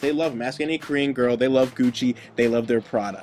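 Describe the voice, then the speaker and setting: A man talks at a fairly quick pace with a medium pitch over noticeable background noise. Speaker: web video host. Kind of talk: explainer tutorial. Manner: fast.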